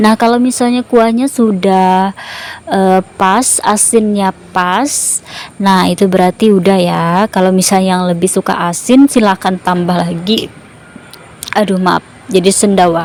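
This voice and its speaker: A woman with a non-native accent speaks at a medium pitch and a fairly slow pace. Her pitch varies in an ordinary way over noticeable background noise. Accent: non-native Indonesian, stiff. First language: a regional language of Indonesia (speaking Indonesian). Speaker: cooking vlogger. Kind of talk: cooking tutorial. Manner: halting, many fillers.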